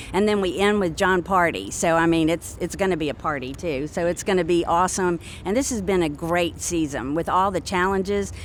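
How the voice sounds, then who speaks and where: A woman's fairly low voice at a fairly quick pace, with ordinary pitch variation, hardly any pauses and noticeable background noise. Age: 60s. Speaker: venue operations manager. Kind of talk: casual interview.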